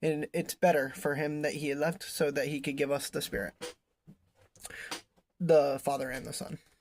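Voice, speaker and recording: This man talks at a moderate pace. His voice sits fairly high. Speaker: bible teacher. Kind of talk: bible study commentary. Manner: halting.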